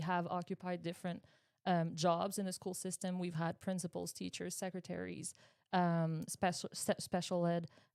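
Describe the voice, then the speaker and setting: A woman's fairly low voice with a Quebec accent, fairly even intonation and a moderate pace, in a very clean recording with a silent background. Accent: Québécois French accent in English. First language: French. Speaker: high school English teacher. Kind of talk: interview. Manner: halting, with many repetitions.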